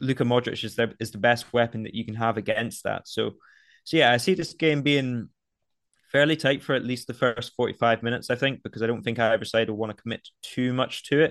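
Over a quiet background, a man with a normal speaking voice talks at a fairly quick pace. His pitch is medium and his intonation fairly even. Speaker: football betting pundit. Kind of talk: casual chat.

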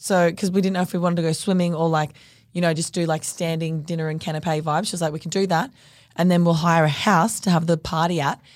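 In an Australian accent, a woman talks at a very fast pace with a fairly low pitch. Her intonation is monotone and flat, and the recording is very clean with a silent background. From North Queensland, Australia. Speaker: fashion label co-founder. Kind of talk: casual chat.

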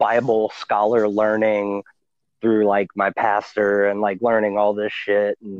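Speaking very slowly in a Louisiana accent, a man uses a fairly low voice. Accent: Southern US (Louisiana). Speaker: puppet creator and TikTok content creator. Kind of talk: casual chat.

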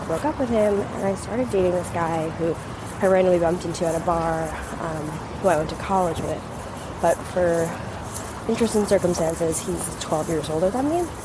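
A woman with a fairly low-pitched voice speaks at a fairly quick pace with ordinary pitch variation, and noticeable background noise sits behind her. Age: 20s. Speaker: caller. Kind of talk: voicemail question.

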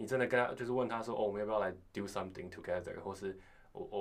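Words come out at a very fast pace with fairly even intonation. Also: man. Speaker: university student. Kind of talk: casual chat.

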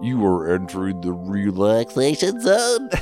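With clear music in the background, a man performs a put-on character voice at a moderate pace. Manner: soothing, meditative guide.

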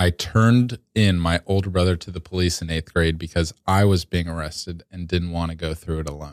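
With an American accent, a man speaks fairly quickly at a very deep, low pitch, barely pausing and keeping his intonation fairly even. The recording is very clean with a silent background and a dry, close sound with no echo. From US, Georgia. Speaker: improv comedian. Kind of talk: casual chat.

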